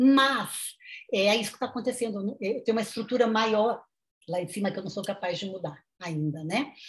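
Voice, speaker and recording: Somewhat breathy, a woman speaks at a moderate pace in a fairly high pitch. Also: ordinary pitch variation. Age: 50s. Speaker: nutritionist and sociology professor. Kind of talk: interview.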